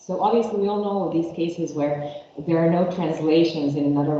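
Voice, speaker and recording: A woman with a Croatian accent speaks at a moderate pace in a fairly low voice with lively intonation, amid audible room echo and noticeable background noise. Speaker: linguistics researcher. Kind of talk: academic seminar talk. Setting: seminar room with remote audience. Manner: halting, with fillers and self-corrections.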